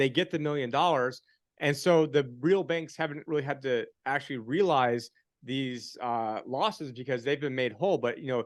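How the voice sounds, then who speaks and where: Against a quiet background, a man with a fairly high pitch talks at a moderate pace, using ordinary pitch variation. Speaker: financial advisor and commentator. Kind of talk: casual podcast conversation. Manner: mumbling; animated.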